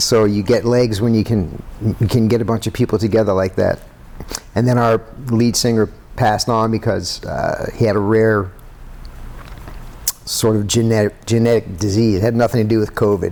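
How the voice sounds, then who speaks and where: Over noticeable background noise, a man at medium pitch speaks in a flat monotone with very even loudness and long, frequent pauses. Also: moderate pace. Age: 60s. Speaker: musician. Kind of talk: casual chat.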